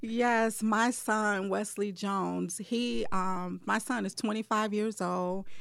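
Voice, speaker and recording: A woman at medium pitch, very slow yet with hardly any pauses, fairly even in intonation, on a very clean recording with a silent background. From Detroit, Michigan. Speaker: bridal shop owner. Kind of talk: casual interview.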